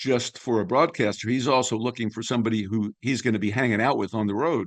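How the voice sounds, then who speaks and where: A man's unremarkable speaking voice at medium pitch, fairly quick in pace, against a quiet background. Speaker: veteran sports broadcaster, radio play-by-play announcer. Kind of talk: interview answer, storytelling about his career.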